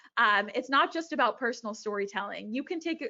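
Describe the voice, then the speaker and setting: Her voice has a fairly high pitch for a woman. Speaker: author and speaker on mental health. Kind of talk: presentation and Q&A.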